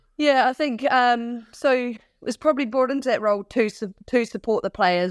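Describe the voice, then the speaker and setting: A woman's fairly high voice in a New Zealand accent, fairly quick, recorded very cleanly against a silent background with a dry, close sound and no echo. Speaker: former pro athlete, athlete support consultant. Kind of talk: podcast interview.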